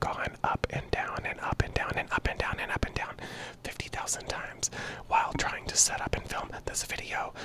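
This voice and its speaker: A man whispers at a moderate pace. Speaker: channel creator. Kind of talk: casual vlog chat. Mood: frank, slightly frustrated. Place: home room. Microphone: handheld.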